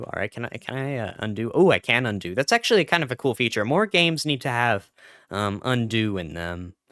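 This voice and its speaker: Over a silent background in a very clean, dry, close recording with no echo, a man at medium pitch talks at a fairly quick pace, his pitch swinging very widely and his loudness rising and falling sharply. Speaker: gaming YouTuber. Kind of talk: gameplay commentary. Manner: slurring speech; halting, many repeats and fillers.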